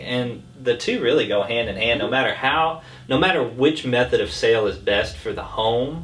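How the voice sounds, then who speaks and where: This man talks at a moderate pace with a medium-pitched voice, an ordinary speaking voice. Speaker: realtor and auctioneer. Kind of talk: casual talk to camera, business update.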